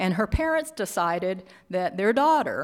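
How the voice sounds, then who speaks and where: With an unremarkable speaking voice, a woman talks at a moderate pace and medium pitch. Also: very clean recording, silent background. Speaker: artist and keynote speaker. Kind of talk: keynote presentation. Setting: stage with audience.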